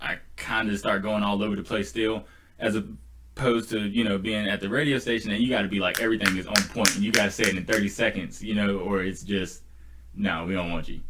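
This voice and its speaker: At a fairly quick pace, a man with an American accent speaks at a fairly low pitch with fairly even intonation. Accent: sounds country when talking fast. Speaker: podcast host and DJ. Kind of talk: casual chat. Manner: lots of fillers like 'like' and 'um'.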